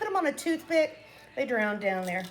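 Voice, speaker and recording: A woman speaks in an animated tone at a fairly high pitch, with very wide pitch swings. Music plays in the background. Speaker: cooking vlogger. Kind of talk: casual cooking tutorial. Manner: chatty, animated.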